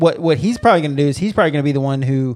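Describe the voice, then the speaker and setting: A man with an unremarkable speaking voice talks at a fairly high pitch with ordinary pitch variation against a quiet background. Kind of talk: casual chat.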